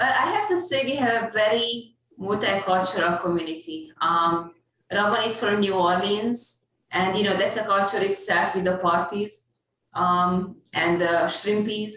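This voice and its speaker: With a Hungarian accent, the voice moves at a fairly slow pace with ordinary pitch variation and very even loudness, set against audible room echo. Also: woman, medium pitch for a woman. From Hungary. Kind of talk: casual chat.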